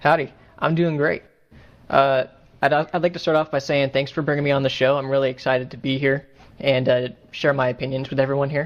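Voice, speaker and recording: Speaking at a fairly quick pace with a Southern US accent, the voice stops often for long pauses. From Texas. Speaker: gamer, forum guest. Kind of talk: podcast interview.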